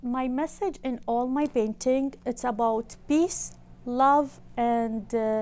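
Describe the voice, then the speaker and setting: With an Arabic accent, a woman talks at a very slow pace in a high pitch with ordinary pitch variation. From Iraq. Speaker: artist. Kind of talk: interview. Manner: halting.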